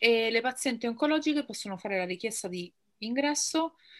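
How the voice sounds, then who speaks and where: A woman's bright, sharp voice at a moderate pace, in a very clean recording with a silent background. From central Italy (Rome, teenage years in Pescara). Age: 30s. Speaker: make-up artist and cancer patient. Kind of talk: interview testimony.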